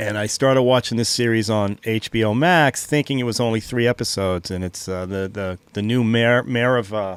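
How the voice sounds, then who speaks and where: Speaking with a Boston accent, a man talks at a fairly quick pace with hardly any pauses. His voice sits at a medium pitch with ordinary pitch variation. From Boston, US. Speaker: podcast co-host. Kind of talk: casual chat.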